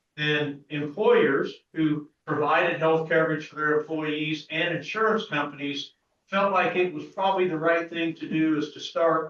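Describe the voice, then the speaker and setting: Speaking with a Midwestern US accent, a man talks at a fairly slow pace and fairly high pitch with fairly even intonation. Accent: US Midwest. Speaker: pharmacist, business owner. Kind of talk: speech to an assembly. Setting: meeting hall with audience. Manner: loud.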